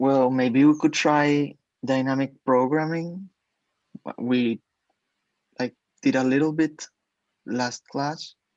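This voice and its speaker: The speech moves at a very slow pace with long, frequent pauses. The speaker has a non-native accent. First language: not English. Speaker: coding student. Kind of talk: tutoring session.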